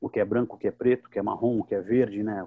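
An unremarkable speaking voice from a man, medium in pitch, with fairly even intonation. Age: 50s. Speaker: psychoanalyst and teacher, show presenter. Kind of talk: casual panel discussion.

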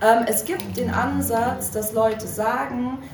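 Noticeable background noise and audible room echo fill the recording. The woman speaking has a fairly high pitch. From Berlin. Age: 20s. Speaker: social work student, activist. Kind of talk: workshop talk. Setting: live workshop with audience.

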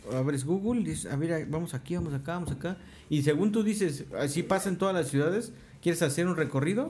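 A man speaks at a fairly quick pace in a high voice, with ordinary pitch variation. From Mexico. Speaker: podcast co-host. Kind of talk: casual chat.

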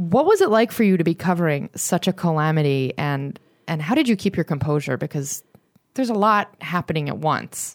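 With an unremarkable speaking voice, a woman talks at a fairly quick pace in a fairly low pitch, her intonation lively over a very clean recording with a silent background. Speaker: podcast host. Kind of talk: casual interview.

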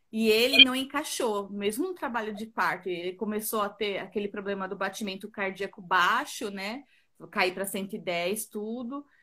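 A woman's bright, sharp tone at a medium pitch, with ordinary pitch variation and a moderate pace. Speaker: pregnant woman asking a question. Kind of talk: live Q&A conversation. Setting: video call on a live stream.

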